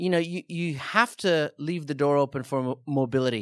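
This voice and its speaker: In a very clean recording with a silent background and a dry, close sound with no echo, a man with an Australian accent talks at a moderate pace and fairly high pitch, with ordinary pitch variation. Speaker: surf podcast host. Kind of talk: casual chat. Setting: studio.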